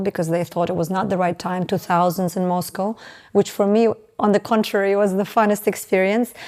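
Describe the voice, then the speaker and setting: Her intonation is fairly even, and her pitch is medium. This woman is heard in a very clean recording with a silent background. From Estonia, with US childhood years. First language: Russian or Estonian. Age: 30s. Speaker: salon founder, entrepreneur. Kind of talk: interview. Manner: halting, many fillers.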